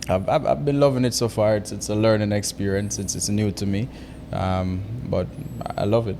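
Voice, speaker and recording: This man speaks fairly quickly at a fairly low pitch, his pitch varying in an ordinary way, with noticeable background noise throughout. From Jamaica. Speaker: real estate agent. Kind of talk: interview.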